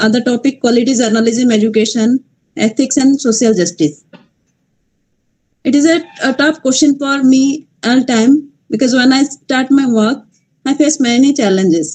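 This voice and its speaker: Her voice is high-pitched, with ordinary pitch variation. The woman keeps a moderate pace and very even loudness. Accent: Odisha. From Malkangiri, Odisha, India. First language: Odia. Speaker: journalist. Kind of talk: panel discussion talk. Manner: halting, many hesitations.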